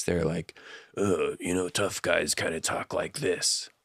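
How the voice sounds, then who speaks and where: A quiet, gravelly, raspy put-on character voice moves at a fairly slow pace. The recording is very clean, with a silent background. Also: man. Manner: quiet, tough.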